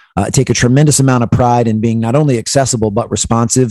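A man talks at a very fast pace and medium pitch, with music in the background. The sound is dry and close, with no echo. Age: 40s. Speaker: keynote speaker and former basketball performance coach. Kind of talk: interview.

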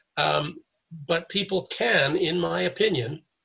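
Speaking very slowly with a Canadian accent, this man has a bright, sharp tone and vocal fry. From Canada (Toronto). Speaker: 9/11 survivor, retired broker. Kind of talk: interview testimony. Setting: video call.

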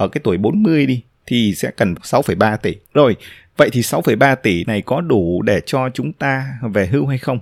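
On a very clean, dry and close recording with no echo and a silent background, a man at medium pitch speaks at a fairly slow pace with lively intonation. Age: 30s. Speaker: podcast host, blogger. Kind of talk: solo podcast monologue. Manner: frequent filler hesitations.

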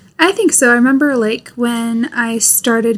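A woman speaks with an American accent in a normal speaking voice. Her pitch sits fairly high. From US. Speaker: YouTuber. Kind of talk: casual chat.

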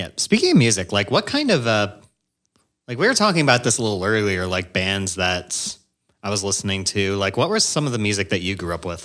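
An ordinary speaking voice from a man, fairly low in pitch, at a fairly quick pace with ordinary pitch variation, on a very clean recording with a silent background. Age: 20s. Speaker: podcast host, real estate agent. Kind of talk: casual chat.

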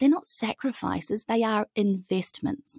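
With a New Zealand accent, a woman talks at a moderate pace in a dry, close recording with no echo. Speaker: holistic well-being educator. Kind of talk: podcast interview.

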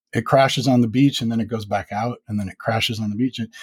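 A man is speaking. His voice is somewhat breathy. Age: 50s. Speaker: sleep story podcaster. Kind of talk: casual interview chat. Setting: video call.

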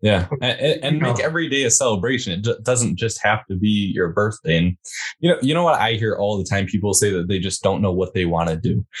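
A man speaks at a fairly quick pace in a fairly low pitch. His voice is somewhat breathy, with lively intonation. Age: 20s. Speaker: podcast host, guest. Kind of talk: casual chat.

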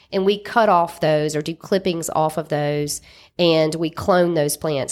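In a very clean recording with a silent background, a woman with a Southern US accent speaks at a fairly low pitch and a moderate pace, with fairly even intonation. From Mississippi. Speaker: lawyer and cannabis company founder. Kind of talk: interview. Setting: studio.

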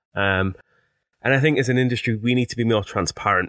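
Fairly quick speech in a Teesside accent with fairly even intonation comes on a very clean recording with a silent background and a dry, close sound with no echo. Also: man. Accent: Teesside (north-east English), noticeable. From Teesside, north-east England. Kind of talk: casual chat, conversational podcast.

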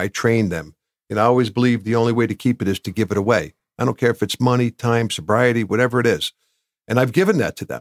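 In an American accent, a man of medium pitch talks at a very fast pace with ordinary pitch variation, on a very clean recording with a silent background. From New Jersey (Bloomfield). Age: 60s. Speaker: business owner, recovering addict. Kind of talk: interview testimony.

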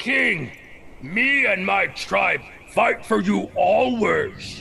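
The speaker uses a put-on character voice. The pace is very slow, with clear background noise. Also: man. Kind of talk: comic overacting. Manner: broken caveman grammar, blunt.

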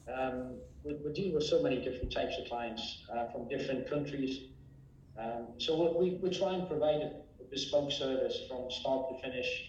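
Against noticeable background noise and audible room echo, a man talks at a moderate pace, fairly high in pitch with ordinary pitch variation. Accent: English. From England. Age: 60s. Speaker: real estate agency owner. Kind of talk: interview.

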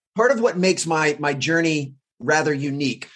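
A normal speaking voice with an American accent and lively intonation. The pace is moderate. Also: man. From US, Washington DC area. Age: 40s. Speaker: high performance coach. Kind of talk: casual interview.

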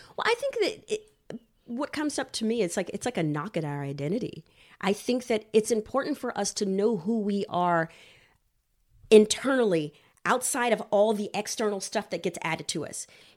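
A woman with an American accent speaks in a normal speaking voice at a fairly high pitch. Her pace is moderate and her intonation lively. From Texas. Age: 40s. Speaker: marriage and family therapist. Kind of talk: casual chat.

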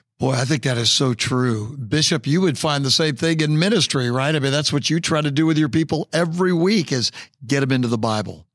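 On a very clean recording with a silent background, a man in a plain, everyday voice speaks fairly quickly and at a fairly high pitch, with hardly any pauses, very even loudness and ordinary pitch variation. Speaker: pastor and podcast host. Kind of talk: interview.

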